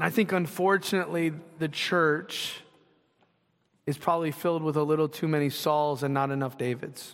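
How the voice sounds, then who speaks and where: On a very clean recording with a silent background, a man with an unremarkable speaking voice talks at a moderate pace, his fairly high pitch held in fairly even intonation. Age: 40s. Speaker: pastor. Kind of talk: sermon. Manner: casual, conversational.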